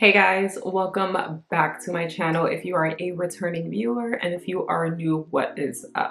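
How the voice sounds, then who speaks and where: Talking at a moderate pace with hardly any pauses, a woman uses a fairly low pitch and ordinary pitch variation over noticeable background noise. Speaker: lifestyle vlogger. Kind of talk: casual vlog chat. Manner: casual, chatty.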